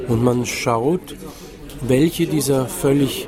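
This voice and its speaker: A man speaks very slowly as noticeable background noise goes on behind him. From Vienna, Austria. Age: 60s. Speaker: writer. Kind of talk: interview. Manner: halting, many fillers.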